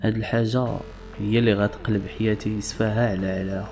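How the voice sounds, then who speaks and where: A man with a Moroccan accent at a moderate pace, fairly low in pitch with fairly even intonation, and music in the background. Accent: Moroccan Darija. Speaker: storyteller. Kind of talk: first-person story narration.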